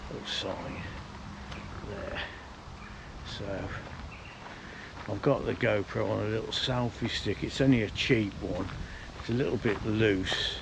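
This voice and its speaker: A man with a fairly low pitch, ordinary pitch variation and a fairly slow pace, with long, frequent pauses, noticeable background noise and audible room echo. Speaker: walking vlogger. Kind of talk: casual vlog narration. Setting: outdoors.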